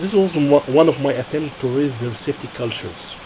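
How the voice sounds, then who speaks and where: Moderate pace in an Arabic accent, with noticeable background noise. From Egypt. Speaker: process safety engineer, job candidate. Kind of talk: job interview. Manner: halting, with frequent self-corrections.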